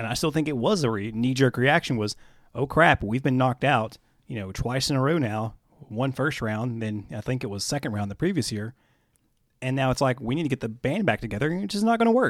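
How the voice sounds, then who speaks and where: A normal speaking voice comes from a man at a medium pitch with ordinary pitch variation. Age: 30s. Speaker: podcast host. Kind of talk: casual chat.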